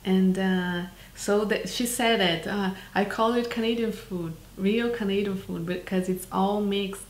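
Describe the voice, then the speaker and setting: At a fairly slow pace, a woman speaks in a medium-pitched voice. Her intonation is fairly even, and there is audible room echo. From Brazil. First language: Portuguese. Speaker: documentary filmmaker. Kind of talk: interview. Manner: halting, many fillers.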